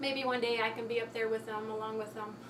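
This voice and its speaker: Through noticeable background noise, a woman with an American accent speaks at a fairly high pitch in monotone, flat intonation. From Texas. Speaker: model and actress. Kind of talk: casual talk to camera. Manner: hesitant, many fillers.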